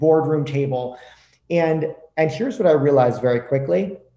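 A man's moderate pace and ordinary pitch variation come through with audible room echo. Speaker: podcast guest. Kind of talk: interview answer. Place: home room. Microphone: video call.

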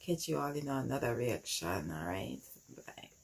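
A woman talks at a fairly slow pace. There is light background noise. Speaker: music reaction vlogger. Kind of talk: casual reaction commentary. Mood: moved, enthusiastic. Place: home room. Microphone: phone near.

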